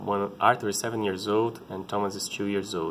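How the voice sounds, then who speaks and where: Speaking with a Brazilian Portuguese accent, a man keeps a fairly low pitch, a moderate pace and a monotone, flat intonation. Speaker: parent vlogger. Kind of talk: personal vlog talk. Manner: halting, many repetitions.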